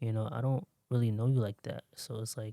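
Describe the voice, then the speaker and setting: Soft-spoken, a man talks with a dark, mellow tone at a moderate pace. His intonation is fairly even, and the sound is dry and close with no echo. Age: 20s. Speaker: motivational podcaster. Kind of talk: motivational monologue. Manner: casual.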